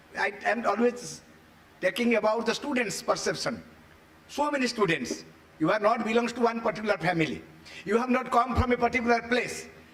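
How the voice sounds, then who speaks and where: Male voice at a fairly quick pace with very even loudness and noticeable background noise. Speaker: education lecturer. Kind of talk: seminar lecture.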